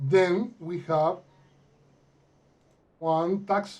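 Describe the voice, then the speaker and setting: A man with a Mexican accent and a dark, mellow tone speaks at a very slow pace. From Mexico. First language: Spanish. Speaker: accounting software consultant. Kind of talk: tutorial. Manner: halting, many fillers.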